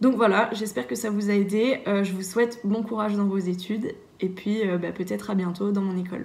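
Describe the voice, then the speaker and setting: A woman at a medium pitch and a fairly quick pace with ordinary pitch variation, amid noticeable background noise and audible room echo. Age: 20s. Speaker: engineering student. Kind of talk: testimony. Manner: hesitant, many filler sounds.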